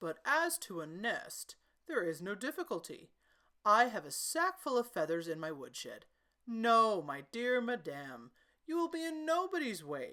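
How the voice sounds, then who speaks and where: Putting on a character voice, a woman speaks at a moderate pace in a fairly high pitch, her pitch swinging very widely. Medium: read story. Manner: elaborately polite, ingratiating.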